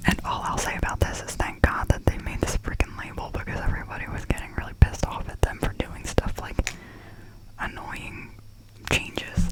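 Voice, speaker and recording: The speech is whispered at a fairly quick pace. Background noise is noticeable throughout. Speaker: ASMR creator. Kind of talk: ASMR candle haul review.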